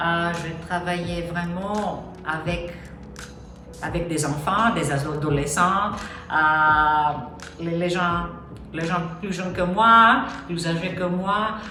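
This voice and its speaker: A woman with a non-native accent speaks very slowly in a fairly low pitch, leaving long, frequent pauses. Her intonation stays fairly even, with noticeable background noise and audible room echo. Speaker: life coach. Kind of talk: personal introduction. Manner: halting, many fillers.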